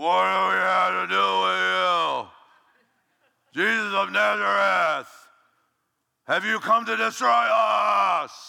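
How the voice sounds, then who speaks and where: Shouting in a put-on character voice, a man with a medium pitch goes at a fairly slow pace with long, frequent pauses in a very clean recording with a silent background. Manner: demonic.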